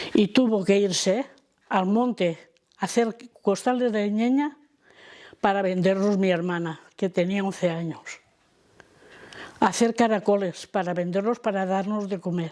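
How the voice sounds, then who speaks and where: A woman speaks in a dark, mellow tone with ordinary pitch variation. Her speech is broken by long, frequent pauses. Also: medium pitch for a woman, fairly slow pace. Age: 80s+. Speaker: elderly daughter of a repression victim. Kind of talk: testimony.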